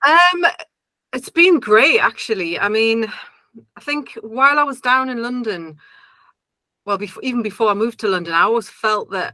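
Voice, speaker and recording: A woman speaks with a slight Geordie accent in a bright, sharp tone. Her pitch swings very widely, broken by long, frequent pauses. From northern England, Newcastle. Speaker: singer-songwriter. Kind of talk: interview. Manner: hesitant, many fillers.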